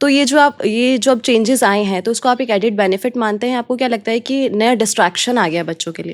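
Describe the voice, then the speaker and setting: A woman's voice with ordinary pitch variation and hardly any pauses. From Rajasthan, India. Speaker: podcast host. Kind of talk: interview.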